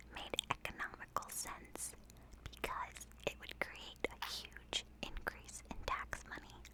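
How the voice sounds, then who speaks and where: The voice is a whisper. There is noticeable background noise. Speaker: ASMR video creator and walking-tour narrator. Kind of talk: ASMR whispered walk-and-talk history narration. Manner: whispered, soft-spoken.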